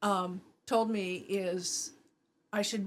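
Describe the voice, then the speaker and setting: Here a woman speaks at a medium pitch with fairly even intonation. Hers is an unremarkable speaking voice. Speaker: prepper guest. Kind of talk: casual chat.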